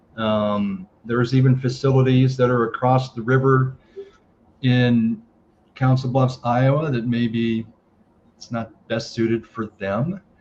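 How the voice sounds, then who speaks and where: Somewhat breathy, a man speaks at a medium pitch and a fairly slow pace. His intonation is fairly even. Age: 60s. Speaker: golf course operator. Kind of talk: interview. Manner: halting.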